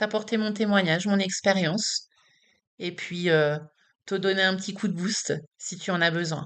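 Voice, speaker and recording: A woman at medium pitch speaks at a fairly slow pace with fairly even intonation and long, frequent pauses. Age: 40s. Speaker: patient advocate vlogger. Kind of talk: personal vlog testimony. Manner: casual, direct address to viewer.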